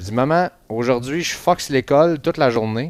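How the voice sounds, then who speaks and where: A man speaks at a medium pitch and a moderate pace, with lively intonation. The sound is dry and close with no echo, on a very clean recording with a silent background. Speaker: sports podcast host. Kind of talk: casual chat. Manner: muffled by face mask.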